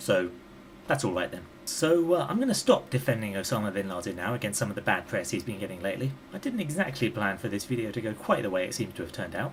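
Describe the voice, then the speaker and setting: A man talks at a very fast pace with a British accent. His voice is somewhat breathy. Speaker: YouTube commentator. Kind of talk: vlog monologue. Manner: conversational.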